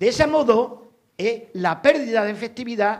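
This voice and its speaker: A man talks with a quiet background behind him. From Extremadura, Spain. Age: 60s. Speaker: audience member. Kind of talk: audience comment. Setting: lecture hall with audience. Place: hall.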